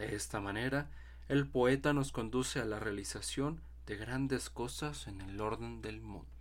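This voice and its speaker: A man speaks slowly-ish, at a fairly slow pace, in a fairly low voice with vocal fry. His pitch swings very widely, and audible room echo surrounds him. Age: 20s. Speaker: architecture student and podcaster. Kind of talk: reflective monologue with readings.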